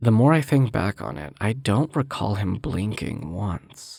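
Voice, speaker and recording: A man's fairly low-pitched voice with vocal fry and very wide pitch swings, on a very clean recording with a silent background. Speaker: aspiring voice actor. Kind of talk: horror story narration.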